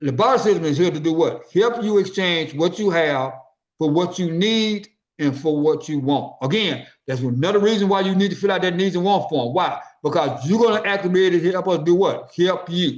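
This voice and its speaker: A high-pitched man with a Memphis accent, ordinary pitch variation, and audible room echo. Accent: Southern US (Memphis) English. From US South. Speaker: business network organizer. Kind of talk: business meeting presentation. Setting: conference call. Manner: fast.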